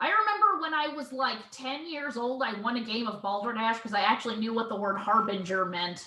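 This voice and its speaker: A woman's fairly high voice at a fairly quick pace, with hardly any pauses and ordinary pitch variation. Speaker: comedy music group member. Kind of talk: casual chat. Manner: loud.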